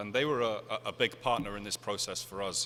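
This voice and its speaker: With a British accent, a man talks at a fairly quick pace in a bright, sharp tone. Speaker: conference speaker. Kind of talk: conference presentation. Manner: fast.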